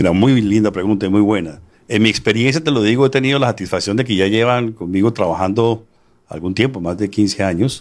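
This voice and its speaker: The recording is very clean, with a silent background. A man with a normal speaking voice talks at a moderate pace, his pitch fairly low and his pitch variation ordinary. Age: 60s. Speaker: author and real estate businessman. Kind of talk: interview.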